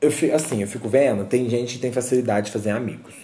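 Through audible room echo, a man with a medium pitch, a dark, mellow tone and a somewhat breathy quality speaks at a fairly quick pace with ordinary pitch variation. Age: 20s. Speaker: podcast host. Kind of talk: casual monologue. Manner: animated.

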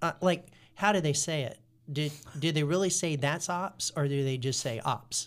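A man's normal speaking voice, fairly high in pitch, with an American accent, a moderate pace and ordinary pitch variation. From US South, North Carolina (Guilford County). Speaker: pastor. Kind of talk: casual chat.

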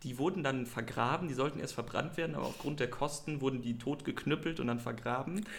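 A man at medium pitch talks at a very fast pace. He sounds somewhat breathy, with ordinary pitch variation. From western Germany, Krefeld. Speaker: podcast guest. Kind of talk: casual chat.

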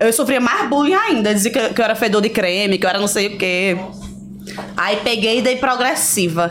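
Over noticeable background noise, a woman speaks with a Pernambuco accent and lively intonation. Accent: drawling Pernambuco. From Pernambuco, Brazil (Recife, raised in Garanhuns). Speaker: influencer and reality show contestant. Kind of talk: casual interview chat.

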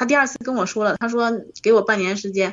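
Her pace is fairly quick. The woman's pitch shows ordinary variation. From Northeast China, Harbin. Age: 30s. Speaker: caller seeking relationship advice. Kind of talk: phone-in advice call. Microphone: wearing earphones, somewhat quiet.

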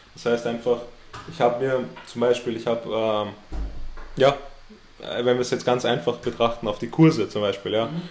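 Over music in the background, a man talks with fairly even intonation and long, frequent pauses. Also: medium pitch for a man, moderate pace. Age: 20s. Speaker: entrepreneur. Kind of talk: interview. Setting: host's office.

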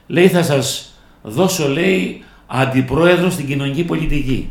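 A man's very slow, lively intonation, with audible room echo. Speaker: local politician, council candidate. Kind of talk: radio interview. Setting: radio studio. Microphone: too far from the mic.

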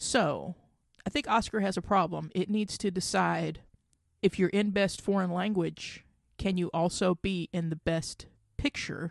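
Against a quiet background, a woman with a normal speaking voice talks at a medium pitch with ordinary pitch variation, her sound dry and close with no echo. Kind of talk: angry rant about award snubs. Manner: indignant, heated, fast, sweary; exasperated, ranting.

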